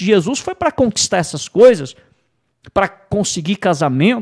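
A man's pitch swings very widely, with a quiet background behind him. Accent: Brazilian. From Brazil. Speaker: preacher. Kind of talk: sermon. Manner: emphatic, repetitive pulpit delivery; earnest, teaching tone. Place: studio. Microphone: studio mic.

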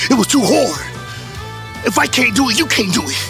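Over clear music in the background, a man speaks at an extremely high pitch in a dry sound with no echo. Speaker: vlogger. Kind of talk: casual vlog chat. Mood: defiant, boastful. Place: street. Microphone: phone near.

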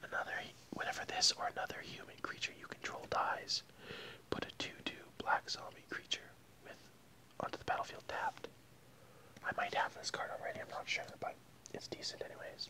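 Whispering, a man talks at a fairly quick pace. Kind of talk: casual vlog chat reading card text. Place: home room. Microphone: earbuds.

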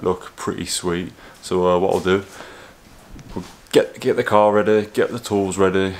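A man with an ordinary speaking voice talks at a moderate pace, fairly low in pitch and with fairly even intonation. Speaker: car modding vlogger. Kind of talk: casual vlog chat. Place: home room. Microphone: phone near.

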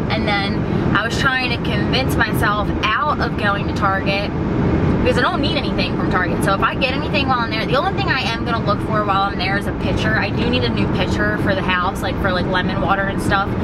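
A woman at a very fast pace, over loud background noise. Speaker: vlogger. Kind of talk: casual vlog chat. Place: car. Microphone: phone near.

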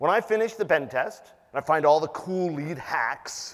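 Fairly high-pitched man at a moderate pace over a quiet background. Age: 50s. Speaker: penetration tester and conference speaker; conference speaker. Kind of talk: conference talk. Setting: stage with audience. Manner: animated. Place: hall.

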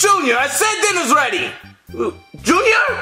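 With faint music in the background, a cartoonish character voice with a bright, sharp tone makes big pitch swings at a fairly slow pace. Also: man, extremely high pitch for a man.

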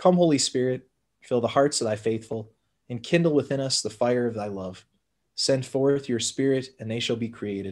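A man keeps a moderate pace and ordinary pitch variation while the background stays quiet. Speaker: parish priest. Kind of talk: prayer group session, spoken prayers. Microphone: video call.

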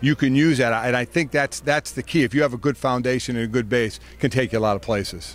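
A man talks at a very fast pace with hardly any pauses, ordinary pitch variation, and a dry sound with no echo. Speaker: interviewee. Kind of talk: interview answer. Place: stadium. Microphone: handheld.

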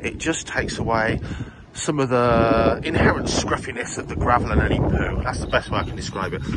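Loud background noise surrounds a dry, echo-free voice that moves at a fairly quick pace. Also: man, ordinary pitch variation. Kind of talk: casual vlog chat. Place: garden. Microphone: phone near.

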